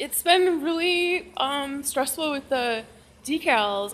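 A woman speaks over light background noise. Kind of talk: casual vlog chat. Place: garage. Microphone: phone near.

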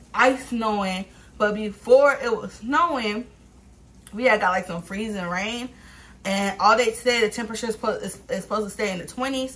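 A woman speaks at a moderate pace with ordinary pitch variation and big swings in loudness. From Los Angeles, US. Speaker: YouTuber, vlogger. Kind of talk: casual eat-with-me vlog. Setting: eating on camera at home. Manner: animated, frequent laughter. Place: home room. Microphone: camera far.

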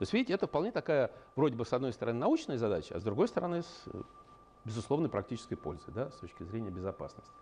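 Over light background noise, a man talks very fast, his loudness swinging sharply and his pitch ranging very widely. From Russia. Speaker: engineering scientist and company head; invited lecturer. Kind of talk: lecture. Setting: university seminar with slides. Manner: halting, many filler sounds. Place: meeting room.

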